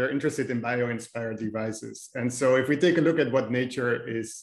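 In a quiet background with audible room echo, a man talks at a fairly quick pace with fairly even intonation. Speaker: speaker. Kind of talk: lecture. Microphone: video call.

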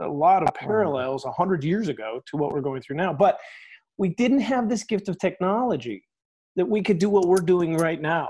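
The man's intonation is lively, and his pace is moderate. All is quiet in the background. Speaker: pastor and podcast host. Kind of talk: casual interview. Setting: video call. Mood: warm, friendly. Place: home room. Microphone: earbuds.

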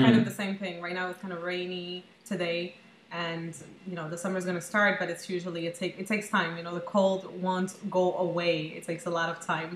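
Speech comes at a very fast pace. There is audible room echo and light background noise. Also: woman. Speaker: host, coach interviewing a guest. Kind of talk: interview host chat. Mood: cheerful, laughing. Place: home room.

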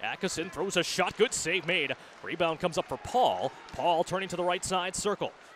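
Noticeable background noise sits behind a man with a high pitch and ordinary pitch variation. His tone is energetic and animated. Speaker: hockey play-by-play announcer. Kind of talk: live sports commentary, play-by-play of hockey highlights. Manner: fast, energetic.

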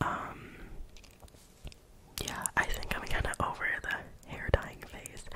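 The voice is whispering. The pace is very slow. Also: woman. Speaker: ASMR creator. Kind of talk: casual talk to camera. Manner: whispered, soft-spoken. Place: home room. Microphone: studio mic.

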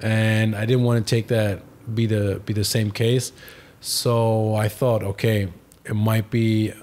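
A man speaks at a very slow pace with a fairly low pitch. His intonation is monotone and flat, and his loudness is very even. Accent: German. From Germany. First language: German. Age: 20s. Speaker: professional footballer; podcast guest. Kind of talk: interview. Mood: reflective, emotional recollection. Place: home room. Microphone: studio mic.

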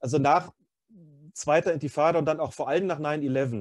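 A man's dark, mellow tone with ordinary pitch variation, against a quiet background. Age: 50s. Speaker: freelance journalist and author. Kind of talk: casual chat. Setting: video call.

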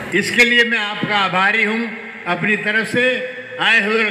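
A man in a raised, projected voice speaks at a very slow pace with monotone, flat intonation and audible room echo. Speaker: guest film actor. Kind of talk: stage speech. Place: stage.

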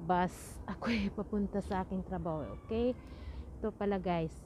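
A dark, mellow tone at a moderate pace, dry with no echo, over noticeable background noise. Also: woman. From Philippines, Bohol (Visayas). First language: Cebuano (Bisaya) (speaking Tagalog). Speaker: vlogger. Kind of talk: casual vlog talk to viewers. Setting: outdoors waiting for train/bus on way to work. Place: street. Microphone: earbuds.

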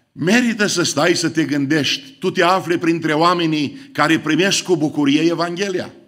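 Against a quiet background, the speech flows at a moderate pace with hardly any pauses and ordinary pitch variation. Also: man, high pitch for a man. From Romania. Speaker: pastor. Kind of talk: sermon. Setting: church. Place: church.

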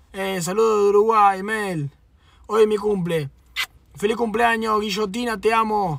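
Speech with a Rioplatense accent at a fairly slow pace, the sound dry with no echo. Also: man. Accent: Argentine Rioplatense Spanish. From Argentina. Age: 20s. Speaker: streamer. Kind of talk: casual livestream chat. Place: car. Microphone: phone near.

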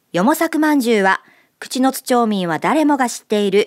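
A woman talks at a fairly quick pace with lively intonation. The background is quiet. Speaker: radio presenter. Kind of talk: scripted radio segment narration. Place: studio. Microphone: studio mic.

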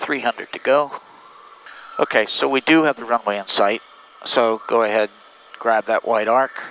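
A calm man's voice at a moderate pace with ordinary pitch variation and long, frequent pauses, dry with no echo over light background noise. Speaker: pilot instructor. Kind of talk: in-flight tutorial demonstration. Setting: aircraft cockpit in flight. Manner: calm, instructive, coaching, with light humor.

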